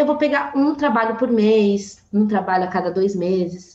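Noticeable background noise sits behind a woman with a fairly high pitch. She speaks at a moderate pace with lively intonation. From São Paulo, east zone. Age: 20s. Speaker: tech sales professional. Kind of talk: casual chat. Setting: video call.

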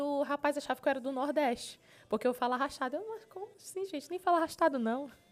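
The voice belongs to a woman and sits high in pitch. It moves with lively intonation. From Pará, Brazil (Marabá). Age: 20s. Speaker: gospel singer and TV presenter. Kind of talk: casual interview. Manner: animated.

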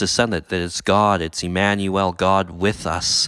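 A man with a fairly low pitch talks at a fairly slow pace in a normal speaking voice, recorded very cleanly against a silent background. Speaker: pastor and camp speaker. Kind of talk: casual interview about a sermon.

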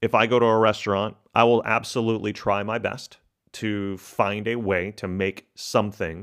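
This man has an ordinary speaking voice with an American accent, pitched fairly low and delivered with fairly even intonation. The recording is very clean, with a silent background. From Texas. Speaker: corporate professional sharing diet story. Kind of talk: personal testimony.

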